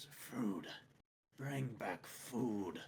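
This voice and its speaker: A put-on character voice, growling and raspy, at a low-to-middle pitch. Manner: growling, demanding.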